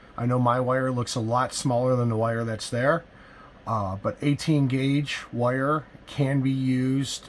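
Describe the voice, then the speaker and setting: Over light background noise, a man talks at a medium pitch. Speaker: RV DIY installer. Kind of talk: casual DIY tutorial talk to camera. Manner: hesitant, many filler words. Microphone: phone near.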